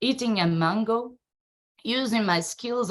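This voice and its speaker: A woman talks with a Brazilian accent. Her pace is fairly slow. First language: Portuguese. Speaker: circus and dance artist, researcher. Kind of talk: presentation. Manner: halting.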